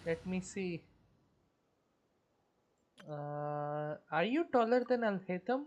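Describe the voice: Lively intonation marks a woman's slow delivery. Her tone is slightly mellow. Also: fairly low pitch for a woman.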